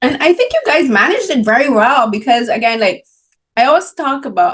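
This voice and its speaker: A woman with a Barbadian accent, an animated tone, very wide pitch swings and a fairly quick pace. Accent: Barbadian (Caribbean) English. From Barbados. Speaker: film critic and interviewer. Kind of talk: interview.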